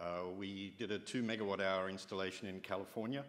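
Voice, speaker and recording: A man with a fairly low pitch speaks at a fairly quick pace in an unremarkable speaking voice. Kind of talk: conference talk. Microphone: podium.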